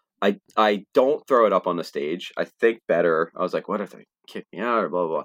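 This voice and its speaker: Over a very clean recording with a silent background, a man with a plain, everyday voice and fairly low pitch moves at a fairly quick pace with lively intonation. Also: dry, close sound with no echo. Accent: American. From New Jersey, Trenton area. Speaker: podcast co-host and music fan. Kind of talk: casual chat.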